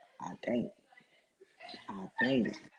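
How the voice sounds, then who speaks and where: A man speaks with a fairly high pitch, a bright, sharp tone and vocal fry. His pitch swings very widely. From New Orleans, Louisiana. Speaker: former co-host, guest. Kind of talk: casual chat.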